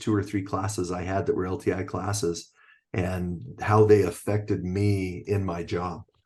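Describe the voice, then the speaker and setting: A dark, mellow, somewhat breathy voice with an American accent, fairly even intonation, and a quiet background. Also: man. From Utah (Orem). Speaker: athletic director and PE teacher. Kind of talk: podcast interview.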